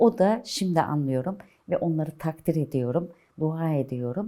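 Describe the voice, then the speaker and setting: The tone is dark and mellow. The pitch swings very widely. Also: woman. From Istanbul, Turkey. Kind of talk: oral history interview answer.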